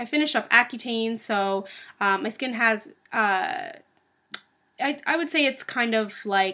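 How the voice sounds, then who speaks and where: Against a quiet background, a woman speaks with a bright, sharp tone and ordinary pitch variation. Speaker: beauty vlogger. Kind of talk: casual vlog chat. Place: home room. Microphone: webcam.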